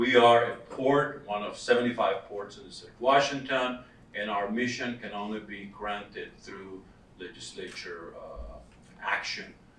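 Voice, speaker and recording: Amid noticeable background noise and audible room echo, a man at medium pitch talks at a fairly slow pace with ordinary pitch variation and big swings in loudness. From Costa Rica. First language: Spanish. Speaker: workforce development director. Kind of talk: conference presentation.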